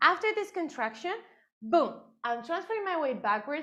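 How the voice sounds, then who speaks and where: With a Spanish accent, a woman's pitch swings very widely over a quiet background. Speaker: dance teacher. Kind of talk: dance class instruction. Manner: rhythmic counting.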